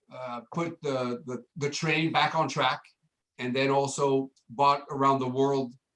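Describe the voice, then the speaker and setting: A man speaks with fairly even intonation at a fairly high pitch. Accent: French. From France. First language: French. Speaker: hotel general manager. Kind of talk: casual interview.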